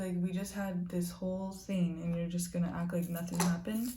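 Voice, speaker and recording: A dark, mellow tone comes through with audible room echo. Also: woman. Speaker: beauty vlogger. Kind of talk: casual storytime while doing makeup. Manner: loud.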